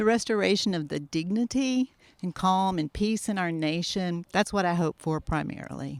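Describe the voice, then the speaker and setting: An unremarkable speaking voice moves at a moderate pace with ordinary pitch variation, dry and close with no echo, in a very clean recording with a silent background. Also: woman, medium pitch for a woman. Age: 60s. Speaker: local arts community member. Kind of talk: street interview.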